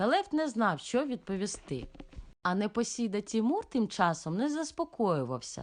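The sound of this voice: The speaker reads in an unforced voice. Nothing about the reading sounds pushed.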